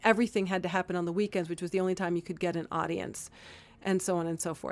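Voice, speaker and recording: Spoken at a very fast pace with an American accent, the clip is a very clean recording with a silent background. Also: woman. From Miami, Cuban American. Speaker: storyteller and performer. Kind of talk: casual interview. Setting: studio.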